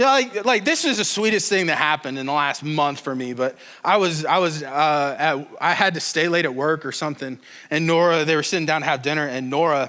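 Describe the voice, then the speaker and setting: A loud man speaks at a fairly quick pace with fairly high pitch and ordinary pitch variation. His tone is bright and sharp. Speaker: pastor. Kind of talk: sermon. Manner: casual, animated.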